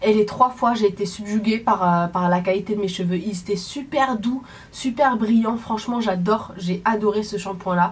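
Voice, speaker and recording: A woman with a medium-pitched voice and ordinary pitch variation talks at a moderate pace. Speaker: beauty vlogger. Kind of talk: casual product review vlog. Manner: animated.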